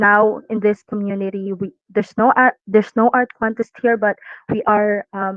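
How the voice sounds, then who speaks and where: A woman with a non-native accent, medium pitch, a fairly slow pace and monotone, flat intonation. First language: not English. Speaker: community artist. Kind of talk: casual chat. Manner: halting.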